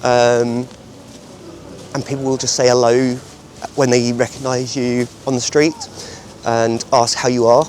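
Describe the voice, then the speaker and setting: Over noticeable background noise, a man of medium pitch speaks at a fairly slow pace in a monotone, flat intonation, with long, frequent pauses. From UK. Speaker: volunteer English teacher. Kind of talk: interview testimony. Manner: hesitant fillers.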